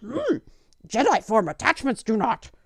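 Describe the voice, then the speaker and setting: A female-sounding voice puts on a character voice, fairly high in pitch and at a moderate pace. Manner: wise, cryptic.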